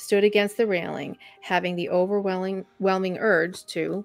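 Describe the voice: The speaker reads aloud. It is plain reading.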